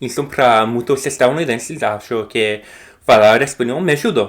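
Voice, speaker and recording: A man with an English accent. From United States. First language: English (speaking Portuguese). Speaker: language learner vlogger. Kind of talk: casual vlog talk to camera. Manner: halting, many fillers and restarts.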